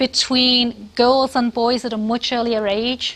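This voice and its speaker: A woman's voice with a high pitch. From Britain. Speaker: professor. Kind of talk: lecture. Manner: halting, many fillers.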